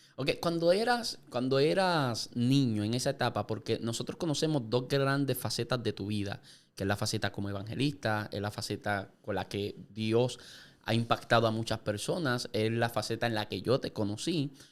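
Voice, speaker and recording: In a very clean recording with a silent background, a man with an unremarkable speaking voice talks at a moderate pace, medium in pitch with ordinary pitch variation. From Puerto Rico, Yauco. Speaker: podcast host. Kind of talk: interview. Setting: studio.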